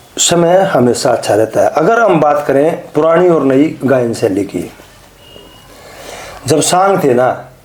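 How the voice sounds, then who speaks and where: A man with a fairly high pitch and lively intonation keeps a very even loudness. He leaves long, frequent pauses amid noticeable background noise. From Haryana, India. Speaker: Haryanvi ragni singer and lyricist. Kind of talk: interview answer.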